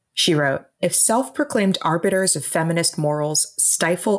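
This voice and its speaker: A woman's fairly low voice, a plain, everyday voice, with ordinary pitch variation at a moderate pace. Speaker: author and columnist. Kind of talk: panel debate.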